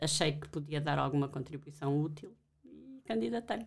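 A woman talks with a very deep, low-pitched voice. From Portugal, Alentejo. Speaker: professor. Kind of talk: interview.

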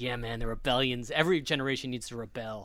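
On a very clean recording with a silent background, a man talks fairly quickly at a medium pitch with ordinary pitch variation, an ordinary speaking voice. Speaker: podcast host. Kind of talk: casual chat.

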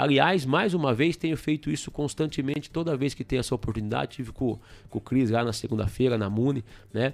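This man has a normal speaking voice at a medium pitch. He talks at a fairly quick pace with ordinary pitch variation. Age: 40s. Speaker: state politician. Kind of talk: radio interview. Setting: studio.

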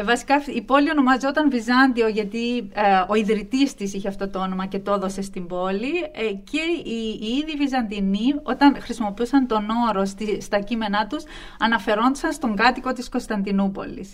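Speech runs with hardly any pauses over noticeable background noise. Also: woman, fairly high pitch for a woman, ordinary pitch variation, moderate pace. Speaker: associate professor of Byzantine studies. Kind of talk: interview. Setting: studio.

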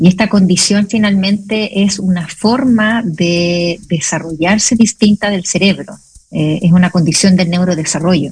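Fairly slow, somewhat breathy speech with fairly even intonation. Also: woman, medium pitch for a woman. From Chile. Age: 40s. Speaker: nurse and mother. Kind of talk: radio interview.

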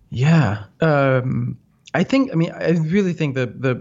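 A man with a Danish accent and ordinary pitch variation. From Denmark, north of Copenhagen. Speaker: software entrepreneur. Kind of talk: interview.

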